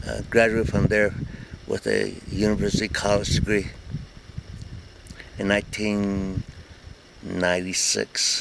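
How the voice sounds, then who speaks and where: In an American accent, a man speaks at a fairly slow pace with monotone, flat intonation and long, frequent pauses. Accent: Navajo English. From Navajo Nation, Arizona. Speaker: military veteran. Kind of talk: interview answer.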